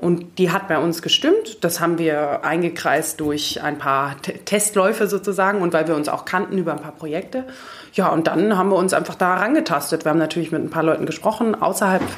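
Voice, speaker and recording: A woman talks at a fairly quick pace with a fairly low pitch in a plain, everyday voice. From Germany, Munich. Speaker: coach and corporate manager. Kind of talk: interview.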